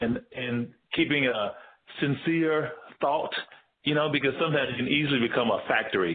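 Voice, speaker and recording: A man with a fairly high voice and a Southern US accent, at a moderate pace with ordinary pitch variation. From US South, Tennessee. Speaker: visual artist. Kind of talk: casual interview.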